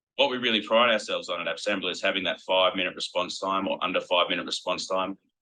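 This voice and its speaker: A man talks in an Australian accent. His pace is very fast. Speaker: company executive presenting product. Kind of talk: product presentation.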